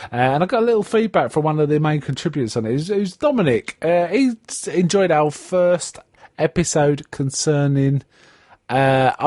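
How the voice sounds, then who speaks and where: Speaking fairly quickly in a strong South London accent, a man with a fairly high pitch makes very wide pitch swings, the sound dry and close with no echo. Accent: strong South London, Cockney-like. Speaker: podcast host. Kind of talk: casual chat. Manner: hesitant, many fillers.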